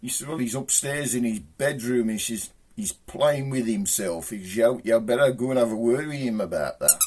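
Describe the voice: What we hear is plain reading aloud.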